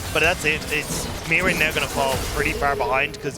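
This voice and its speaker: An Irish accent at a very fast pace over background music. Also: man. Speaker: esports caster. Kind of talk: live commentary.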